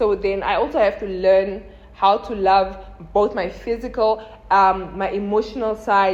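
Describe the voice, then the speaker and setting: Over noticeable background noise, a woman speaks at a fairly slow pace and a medium pitch. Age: 20s. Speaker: content creator. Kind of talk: casual chat. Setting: filmed with a phone camera. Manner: animated.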